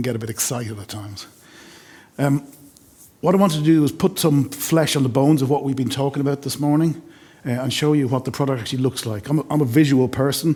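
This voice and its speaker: In an Irish accent, a man speaks very fast at a medium pitch with ordinary pitch variation. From Ireland. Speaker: sales engineer. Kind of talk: webinar product demo.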